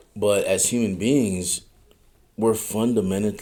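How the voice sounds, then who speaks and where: A man with a fairly low pitch speaks at a very slow pace, keeping fairly even intonation. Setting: live stream.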